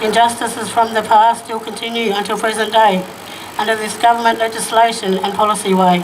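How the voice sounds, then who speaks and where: Noticeable background noise runs through the clip. The pace is fairly quick. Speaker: activist speaker. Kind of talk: rally speech, poem-like.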